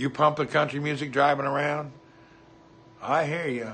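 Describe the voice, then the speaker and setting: Noticeable background noise sits behind a speaker with an American accent talking at a moderate pace. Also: man. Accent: Southern US, redneck. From US South, Hendersonville, Tennessee. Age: 50s. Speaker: livestreamer. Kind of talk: casual chat.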